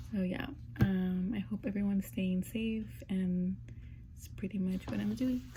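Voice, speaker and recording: With a normal speaking voice, a woman talks at a fairly slow pace. Her pitch is medium, with ordinary pitch variation. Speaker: vlogger, student in a clinical training program. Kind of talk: casual vlog.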